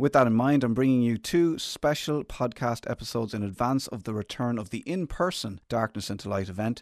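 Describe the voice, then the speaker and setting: A man speaks at a medium pitch with an Irish accent and ordinary pitch variation. The recording is very clean with a silent background, and the sound is dry and close with no echo. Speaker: radio presenter and podcast host. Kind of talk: interview about mental health; scripted introduction.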